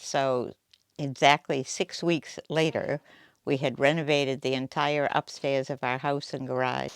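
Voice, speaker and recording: In a Boston accent, a woman speaks fairly slowly with a very deep, low pitch and monotone, flat intonation, on a very clean recording with a silent background and a dry, close sound with no echo. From US Northeast, Boston area. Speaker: quilt shop owner, retired nurse. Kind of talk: interview monologue.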